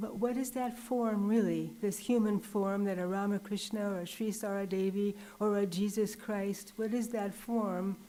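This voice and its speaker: Over noticeable background noise, a soft-spoken woman talks at a moderate pace in a monotone, flat intonation. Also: medium pitch for a woman, hardly any pauses. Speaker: visiting nun giving a religious talk. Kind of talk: religious talk.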